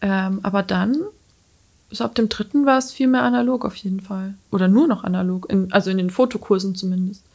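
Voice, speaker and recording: Talking at a fairly quick pace, a woman with a medium-pitched, somewhat breathy voice uses lively intonation. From Lower Franconia, Bavaria. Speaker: freelance photographer and designer. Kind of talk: casual interview. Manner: hesitant, many fillers.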